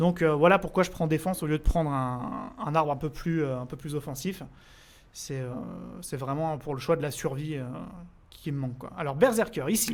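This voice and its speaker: A man's fairly high pitch with ordinary pitch variation and long, frequent pauses. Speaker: gaming streamer. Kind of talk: live stream gameplay commentary. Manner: fast; casual, hesitant with fillers.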